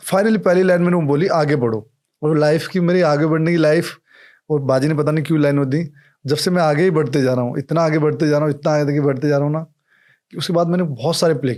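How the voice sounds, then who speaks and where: Recorded very cleanly against a silent background, a man speaks with a plain, everyday voice, his pitch fairly high and his intonation fairly even. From India, Rajasthan (Jaipur). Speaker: actor and producer. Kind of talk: casual interview chat.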